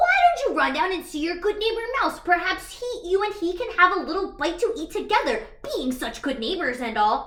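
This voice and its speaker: In a put-on character voice, the speaker talks at an extremely high pitch at a moderate pace with hardly any pauses. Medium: read story.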